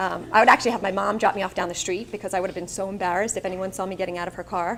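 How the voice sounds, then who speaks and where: With a Long Island accent, a woman talks at a very fast pace in a medium pitch, her intonation monotone and flat. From Long Island, New York. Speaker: speaker. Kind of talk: motivational speech.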